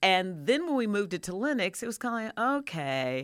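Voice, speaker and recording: Her pitch swinging very widely, a woman speaks at a medium pitch and a moderate pace. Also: very clean recording, silent background. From Louisville, Kentucky. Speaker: TV news anchor. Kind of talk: radio interview. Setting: radio studio.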